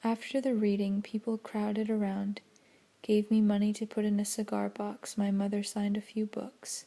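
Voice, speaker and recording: Soft-spoken delivery at a moderate pace. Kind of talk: audiobook-style reading of a novel, ASMR. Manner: soft-spoken, relaxing.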